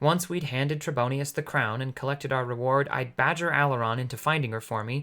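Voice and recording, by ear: Text is read aloud here. It is delivered in a natural voice.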